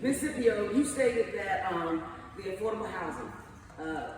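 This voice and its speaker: A loud man with a high pitch, a passionate tone and lively intonation at a moderate pace, amid noticeable background noise and audible room echo. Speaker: community member speaking at public meeting. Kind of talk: public comment at community meeting. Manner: passionate, emphatic.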